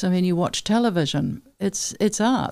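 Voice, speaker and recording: A dark, mellow tone at a moderate pace, with ordinary pitch variation over a quiet background. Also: woman. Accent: New Zealand. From South Island, New Zealand. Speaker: artist, printmaker and painter. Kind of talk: interview answer. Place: studio. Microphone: studio mic.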